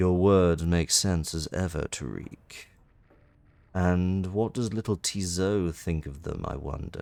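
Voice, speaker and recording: Putting on a character voice, a man speaks at a fairly slow pace with a very deep, low pitch and ordinary pitch variation. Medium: game stream. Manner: formal, clipped, austere.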